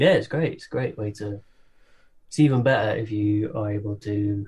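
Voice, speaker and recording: Somewhat breathy, a man speaks at a fairly low pitch and moderate pace, with ordinary pitch variation. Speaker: musician and comedy performer. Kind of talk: casual chat, interview. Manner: laid back, chilled.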